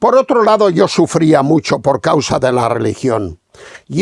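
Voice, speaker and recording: In a dry, close sound with no echo, a man speaks at a fairly slow pace with vocal fry and very wide pitch swings. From Spain, Castilla-La Mancha. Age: 70s. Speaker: radio speaker giving religious testimony. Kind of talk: testimony.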